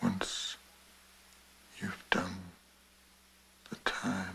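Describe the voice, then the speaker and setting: A man is speaking. His pace is very slow. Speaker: actor. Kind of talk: film dialogue excerpt over piano music. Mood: calm, low, measured. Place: home room.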